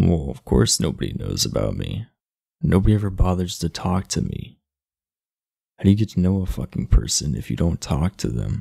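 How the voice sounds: A man puts on a character voice, low in pitch with big pitch swings, at a moderate pace. His dark, mellow tone carries a slightly husky edge and vocal fry.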